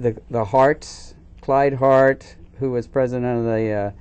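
A man is speaking. His pace is very slow. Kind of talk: interview answer. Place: studio.

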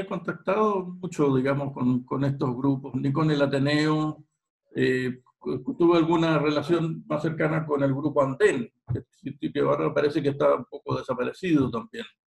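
A man speaks with a Chilean accent at a fairly slow pace. His voice is somewhat breathy against a quiet background. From Chile, San Bernardo near Santiago. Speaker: history teacher and local historian. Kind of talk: interview. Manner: halting, many repetitions. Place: home room. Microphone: video call.

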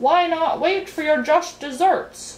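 Fairly slowly, a woman uses a put-on character voice pitched extremely high. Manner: mumbling indistinctly.

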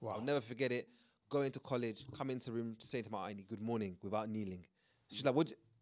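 A man's very fast speech at medium pitch with ordinary pitch variation, over a quiet background. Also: big swings in loudness. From Ugandan heritage. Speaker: podcast co-host. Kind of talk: casual chat. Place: studio. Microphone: studio mic.

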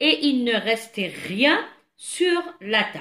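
Over a quiet background, a woman with an Algerian accent speaks with very wide pitch swings. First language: Algerian Arabic (speaking French). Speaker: French teacher. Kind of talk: tutorial. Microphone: phone near.

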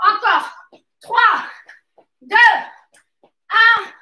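A woman uses a raised, projected voice with a bright, sharp tone, and the room echo is audible. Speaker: fitness coach. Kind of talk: workout coaching instructions. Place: gym. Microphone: camera far.

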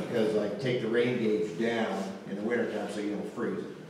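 A man talks at a moderate pace with fairly even intonation. Strong room echo and light background noise fill the recording. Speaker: presenter. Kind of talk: presentation talk. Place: hall. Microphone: camera far.

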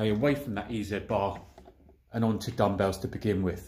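A somewhat breathy male voice at a moderate pace, with ordinary pitch variation. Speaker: home gym vlogger. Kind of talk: casual vlog chat. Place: garage. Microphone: phone near.

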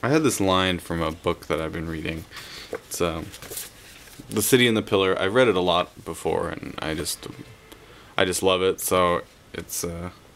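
A man with a very deep, low voice speaks at a moderate pace with ordinary pitch variation. He takes long, frequent pauses. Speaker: vlogger in a group video series. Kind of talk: casual vlog chat. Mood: warm, reflective. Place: home room. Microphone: webcam.

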